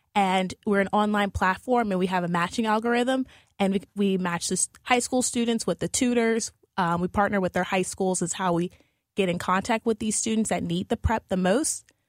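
In a very clean recording with a silent background and a dry, close sound with no echo, a woman with an American accent speaks at a moderate pace and medium pitch, her loudness very even and intonation fairly even. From New Orleans, Louisiana, US. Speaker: education startup founder. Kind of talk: radio interview. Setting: radio studio. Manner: hesitant, many fillers.

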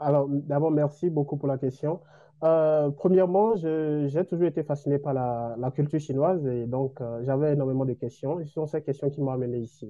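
Here is an unremarkable speaking voice at a moderate pace. Its intonation is fairly even. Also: man, fairly high pitch for a man. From Benin. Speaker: doctoral student. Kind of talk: interview. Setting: video call.

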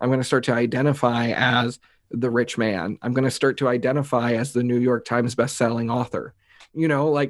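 A man with a plain, everyday voice, medium pitch, fairly even intonation and a fairly quick pace. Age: 20s. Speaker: mindset coach and speaker. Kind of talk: casual interview chat.

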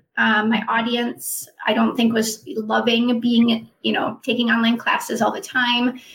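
Using a plain, everyday voice, a woman with an American accent speaks at a fairly high pitch with ordinary pitch variation. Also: fairly slow pace. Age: 40s. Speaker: personal trainer and wellness coach. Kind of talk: interview.

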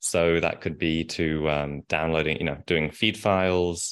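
Very deep and low in pitch, a man talks with an English accent and fairly even intonation. The recording is very clean and the background silent. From England. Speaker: e-commerce agency founder. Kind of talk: casual interview. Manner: fast talker.

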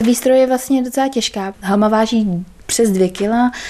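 At a moderate pace, a woman speaks with fairly even intonation amid noticeable background noise. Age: young. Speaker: chef and American football player. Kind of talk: casual chat. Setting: at her home.

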